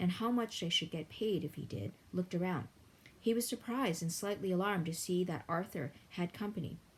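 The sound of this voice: Pitch varies in an ordinary way. The voice reads without any forcing.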